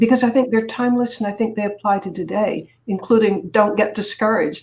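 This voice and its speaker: The speech comes at a fairly quick pace and sounds somewhat breathy. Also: woman. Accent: American. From Boston area, Massachusetts. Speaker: public speaker and author. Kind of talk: interview.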